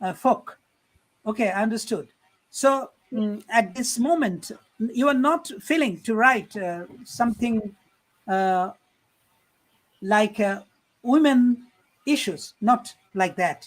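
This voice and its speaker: At a very slow pace, the speaker talks in a Bengali accent with long, frequent pauses. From Bangladesh. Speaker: program chair and poetry event host. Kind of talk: interview on live-streamed poetry evening. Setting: online live stream. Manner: halting, many fillers.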